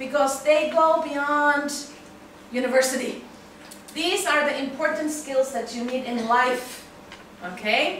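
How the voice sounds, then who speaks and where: Amid noticeable background noise and audible room echo, a woman speaks in a high pitch with ordinary pitch variation. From Finland. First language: Finnish. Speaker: university English teacher. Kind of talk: lecture. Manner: frequent filler um.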